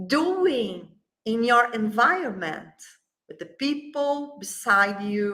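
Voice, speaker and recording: Speaking very slowly, a woman uses a high voice and lively intonation. She has a Brazilian Portuguese accent, and the room echo is audible. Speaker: flower essence company CEO. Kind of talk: interview. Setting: livestream. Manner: halting.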